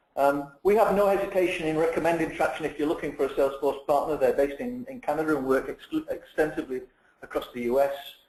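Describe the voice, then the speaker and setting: In a British accent, the speaker goes at a very fast pace with ordinary pitch variation. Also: man, fairly high pitch for a man. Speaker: company CEO hosting webinar. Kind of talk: webinar presentation. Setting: online webinar.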